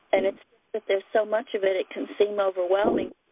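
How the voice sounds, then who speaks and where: The woman's voice comes through dry, with no echo. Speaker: caller sharing illness story. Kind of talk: personal testimony. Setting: phone conference call. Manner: halting, hesitant. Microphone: phone line.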